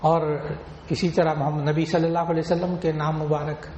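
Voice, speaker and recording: This man has a fairly high pitch. He speaks with monotone, flat intonation. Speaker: Islamic scholar giving a sermon. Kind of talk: religious sermon (bayan) to an audience.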